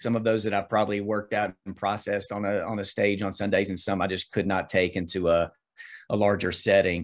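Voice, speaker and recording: Against a quiet background, a man talks at a fairly quick pace and a fairly low pitch. He has an ordinary speaking voice with fairly even intonation. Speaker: minister. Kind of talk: casual interview, personal testimony.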